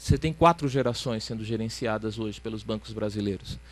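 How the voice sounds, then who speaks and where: A man speaks in a Ceará accent. His pace is fairly quick and his intonation fairly even. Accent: Ceará accent, kept. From Ceará, northeastern Brazil. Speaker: panel speaker on financial regulation. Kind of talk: conference talk. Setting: academic event with audience. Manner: hesitant, repeats words.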